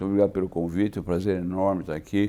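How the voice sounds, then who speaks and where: A man speaks with a very deep, low pitch and a dark, mellow tone. His pitch varies in an ordinary way. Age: 80s+. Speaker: insurance executive. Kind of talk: interview. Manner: conversational, with filler tags.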